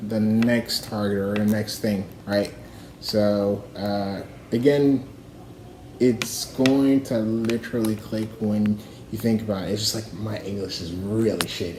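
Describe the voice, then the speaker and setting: A man talks at a fairly slow pace with noticeable background noise. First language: not English. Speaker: livestreamer. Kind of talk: casual rambling monologue. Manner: halting, many fillers.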